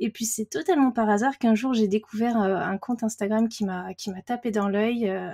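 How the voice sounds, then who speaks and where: A woman speaks at a moderate pace in a fairly high pitch with ordinary pitch variation and hardly any pauses, her tone dark, mellow and somewhat breathy. The sound is dry and close with no echo, on a very clean recording with a silent background. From Paris region, France. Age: 30s. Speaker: watercolour artist. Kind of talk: casual interview chat. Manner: hesitant, many fillers.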